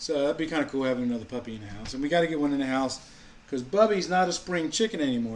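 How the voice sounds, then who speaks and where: A man talks very fast with lively intonation. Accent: New England. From US Mid-Atlantic, Maryland. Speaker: vlogger. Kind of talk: casual chat. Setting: live stream at home.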